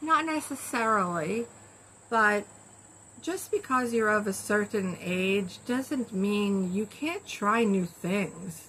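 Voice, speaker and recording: Her voice sits at a medium pitch with a bright, sharp tone, and this woman talks at a very slow pace with lively intonation. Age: 60s. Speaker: video blogger. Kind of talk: casual chat. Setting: screened-in porch. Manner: halting.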